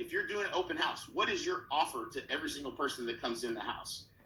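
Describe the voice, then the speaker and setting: Speaking very fast with an American accent, a man is heard with audible room echo. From Oklahoma. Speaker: real estate coach. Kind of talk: conference talk. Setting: virtual conference.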